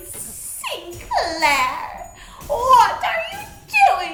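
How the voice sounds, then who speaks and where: Over clear background noise comes a put-on character voice at an extremely high pitch, in an English accent. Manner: alarmed, questioning.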